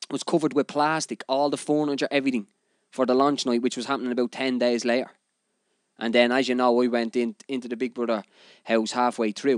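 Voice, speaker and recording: A man speaks at a fairly quick pace with a Dublin accent. The sound is dry and close, with no echo. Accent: Dublin Irish. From Ireland, Dublin (Finglas). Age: 30s. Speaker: podcast host, DJ. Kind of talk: casual monologue. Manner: animated.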